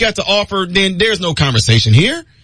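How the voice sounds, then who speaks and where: A man speaks in a high pitch with a raised, projected voice. His tone is animated, bright and sharp. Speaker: radio talk show host. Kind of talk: talk radio monologue. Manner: fast.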